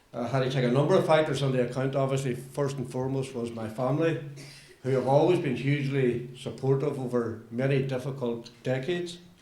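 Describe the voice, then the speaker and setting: A man talks fairly quickly at a medium pitch, his intonation fairly even, with noticeable background noise behind him. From Northern Ireland. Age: older. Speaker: politician. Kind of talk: political statement.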